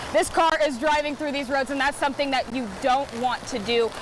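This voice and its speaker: The voice shows ordinary pitch variation. There is noticeable background noise. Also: woman. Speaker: news reporter and anchor. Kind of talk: TV news package voiceover and live shots.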